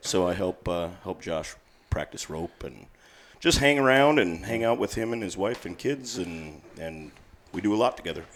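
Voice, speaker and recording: A fairly low-pitched man at a moderate pace, with lively intonation. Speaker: ranch hand, podcast guest.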